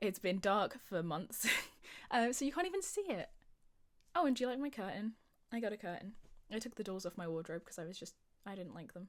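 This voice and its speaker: This speaker has a British accent, an animated tone and lively intonation at a fairly quick pace. Loudness swings widely, and long pauses come often. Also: woman, medium pitch for a woman. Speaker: gaming youtuber. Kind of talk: casual gameplay commentary. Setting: home recording. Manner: fast.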